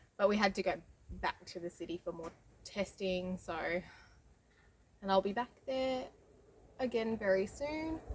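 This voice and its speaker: A woman with an Australian accent speaks at medium pitch and a moderate pace, with lively intonation. Her loudness swings widely, and she takes long, frequent pauses. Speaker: homesteading vlogger. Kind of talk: casual vlog talk. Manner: intermittent speech difficulty.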